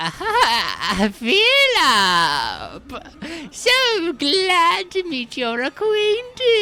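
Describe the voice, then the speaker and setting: Cackling through a put-on character voice, the speaker goes at a very slow pace with very wide pitch swings. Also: female-sounding voice, extremely high pitch for a woman. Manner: cackling, theatrically gleeful, formal greeting.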